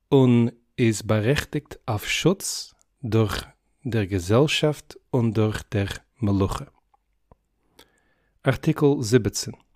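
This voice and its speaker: A soft-spoken man at medium pitch with ordinary pitch variation, a very slow pace and long, frequent pauses. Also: dry, close sound with no echo. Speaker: polyglot. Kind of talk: reading of a formal legal text in many languages.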